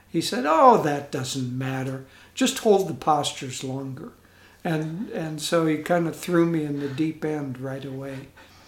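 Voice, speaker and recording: In an American accent, a man talks at a fairly slow pace with a fairly high, somewhat breathy voice, ordinary pitch variation and big swings in loudness. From US Midwest (northern Iowa, southern Minnesota). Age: 70s. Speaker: spiritual community leader. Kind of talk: interview.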